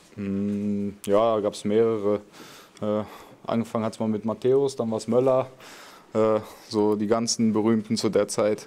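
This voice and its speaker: A man speaks at a fairly slow pace, leaving long, frequent pauses. His dark, mellow voice sits at a fairly low pitch, with monotone, flat intonation. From Lower Saxony, Germany (Wolfsburg area); Lower Saxony. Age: 20s. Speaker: professional footballer; guest. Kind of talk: question-and-answer interview with young fans. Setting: stadium fan area before a match. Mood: relaxed, friendly. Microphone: handheld.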